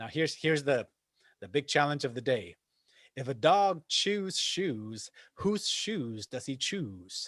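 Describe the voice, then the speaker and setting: Speaking at a fairly slow pace, a man with a fairly high pitch and very wide pitch swings comes through in a very clean recording with a silent background and a dry, close sound with no echo. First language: Spanish. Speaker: acting coach. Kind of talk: tutorial.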